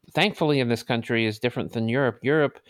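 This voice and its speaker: An ordinary speaking voice with an American accent, heard on a very clean recording with a silent background. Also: man, dry, close sound with no echo. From New York City (Brooklyn). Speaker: technologist, teacher and documentary filmmaker. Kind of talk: casual interview.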